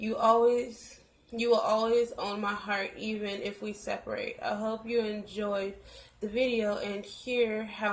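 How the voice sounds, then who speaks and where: A woman's fairly high voice, very slow pace and monotone, flat intonation, with audible room echo and noticeable background noise. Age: 20s. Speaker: vlogger. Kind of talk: reading aloud; casual chat.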